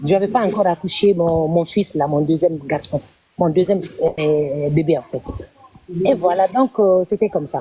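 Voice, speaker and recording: Long, frequent pauses run through a woman's fairly low voice, which shows ordinary pitch variation. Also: moderate pace. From Guinea. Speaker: caller sharing personal story on live stream. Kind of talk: testimony. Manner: halting.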